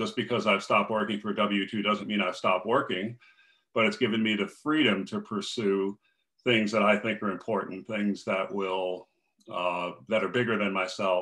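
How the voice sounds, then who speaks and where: With an American accent, a man speaks at a fairly low pitch and moderate pace with fairly even intonation. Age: 60s. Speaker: finance coach. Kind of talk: interview. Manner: plain-spoken.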